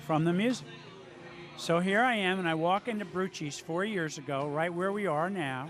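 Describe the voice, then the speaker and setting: Over background music and audible room echo, a man speaks at a moderate pace with a high pitch and ordinary pitch variation. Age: 60s. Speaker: amateur singer and guitarist. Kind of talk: casual interview. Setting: restaurant during live music event.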